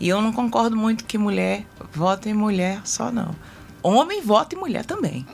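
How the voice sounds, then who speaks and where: Lively intonation marks a woman's speech, with noticeable noise behind her. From Brasília, Brazil. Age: 50s. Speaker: political candidate, retired health technician. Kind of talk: interview. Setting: radio studio.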